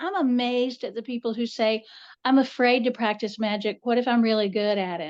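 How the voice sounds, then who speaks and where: The speaker has a Southern Appalachian accent and ordinary pitch variation. The background is quiet. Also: woman. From US South, western North Carolina. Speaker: author and folklorist. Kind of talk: interview. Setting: podcast recording.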